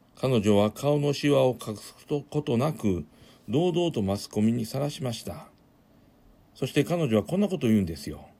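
A man's medium-pitched voice, dark and mellow in tone, at a moderate pace with very wide pitch swings. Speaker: pastor and radio host. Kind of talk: radio show with a sermon-style message. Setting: studio. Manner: warm, encouraging, formal.

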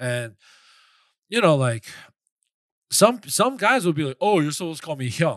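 A man with a New York accent and a fairly high pitch at a fairly quick pace, on a very clean recording with a silent background. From New York, Flushing, Queens. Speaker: podcast co-host and waiter. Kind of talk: casual chat.

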